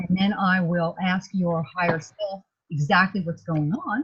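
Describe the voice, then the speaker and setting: A somewhat breathy woman's voice at medium pitch. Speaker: energy healer. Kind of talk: energy healing session. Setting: video call.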